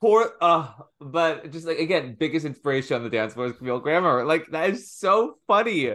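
A man's fairly high, bright and sharp voice with an American accent at a fairly quick pace. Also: lively intonation, quiet background. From US, Washington DC. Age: 20s. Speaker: comedian and show host. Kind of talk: casual chat.

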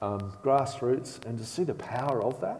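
Delivered at a moderate pace with ordinary pitch variation, this Australian accent comes through over noticeable background noise. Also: man. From Australia (Bathurst, New South Wales). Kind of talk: sermon. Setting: church service with congregation.

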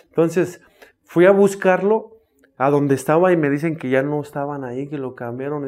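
Big swings in loudness mark this man's speech. He talks at a moderate pace with ordinary pitch variation. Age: 30s. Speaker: recovering addict, runs rehab houses. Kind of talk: testimony.

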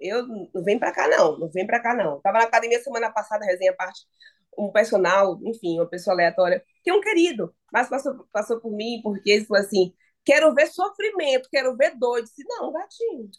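Lively intonation and a fairly quick pace mark a plain, everyday voice. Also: woman, fairly high pitch for a woman. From Bahia, Brazil (Salvador). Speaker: journalist and sports content creator. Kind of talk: podcast interview.

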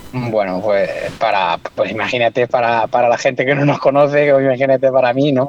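Spoken at a fairly quick pace, this is an ordinary speaking voice. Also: man. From Extremadura, Spain. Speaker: angler. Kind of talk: casual chat.

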